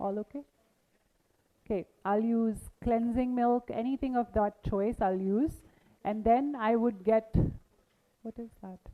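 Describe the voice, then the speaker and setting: Leaving long, frequent pauses, a woman speaks at a fairly slow pace in a fairly high pitch with a dark, mellow tone, fairly even intonation and big swings in loudness, in a dry, close sound with no echo. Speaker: makeup artist teaching a masterclass. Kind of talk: live demonstration workshop.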